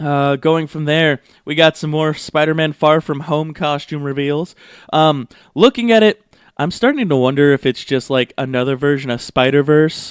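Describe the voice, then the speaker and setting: A man speaks at a moderate pace. His fairly high voice shows ordinary pitch variation. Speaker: podcast host. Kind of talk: casual solo podcast news talk. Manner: hesitant, many fillers.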